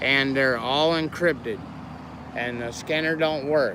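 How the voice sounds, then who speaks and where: Amid noticeable background noise, a man with an American accent talks at a moderate pace. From Florida. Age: 50s. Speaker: activist livestreamer, veteran. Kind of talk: casual livestream monologue. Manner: soft.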